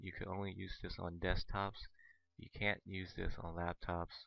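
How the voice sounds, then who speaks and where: A man speaks quietly in a very deep, low voice. His pace is fairly slow. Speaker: gaming video creator. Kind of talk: tutorial commentary. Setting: headset mic. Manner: hesitant, many fillers.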